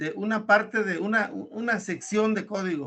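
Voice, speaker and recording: Bright and sharp in tone, a man speaks in a high voice at a moderate pace. His pitch varies in an ordinary way. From Mexico, Querétaro. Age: 60s. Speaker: student. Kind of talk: online lesson. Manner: halting, hesitant.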